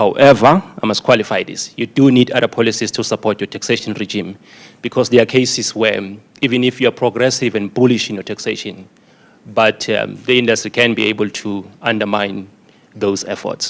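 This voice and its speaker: The speaker has a South African accent. Intonation stays fairly even. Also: man, medium pitch for a man, fairly quick pace. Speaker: conference speaker on tobacco taxation. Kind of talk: conference presentation.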